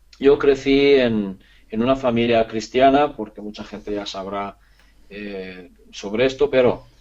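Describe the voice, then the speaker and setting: Fairly slow speech in a Hungarian accent, with ordinary pitch variation and big swings in loudness. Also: man, medium pitch for a man. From Transylvania, Romania. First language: Hungarian (speaking Spanish). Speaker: course teacher on physics and ancient history. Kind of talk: interview. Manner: halting.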